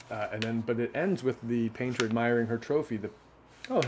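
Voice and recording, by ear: Natural-voiced reading aloud.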